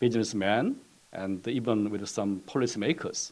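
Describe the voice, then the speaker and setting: A man's medium-pitched voice with a Korean accent, lively intonation and a fairly slow pace. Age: 60s. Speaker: economics professor. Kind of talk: presentation. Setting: webinar. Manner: halting, many fillers.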